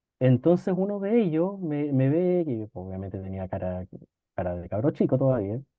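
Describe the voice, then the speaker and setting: A man with a Chilean accent speaks at a medium pitch and a moderate pace. His pitch swings very widely. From northern Chile (Antofagasta). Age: 40s. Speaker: law professor and lawyer. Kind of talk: casual interview storytelling.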